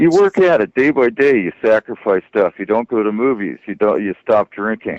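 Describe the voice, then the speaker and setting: A man of medium pitch speaks in an ordinary speaking voice at a moderate pace, with lively intonation and hardly any pauses. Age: 60s. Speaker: caller. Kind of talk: casual chat.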